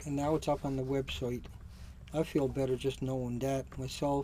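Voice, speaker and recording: Mumbling at a moderate pace, a man speaks at a fairly high pitch in a dark, mellow tone. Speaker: independent activist and video blogger. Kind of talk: video blog monologue.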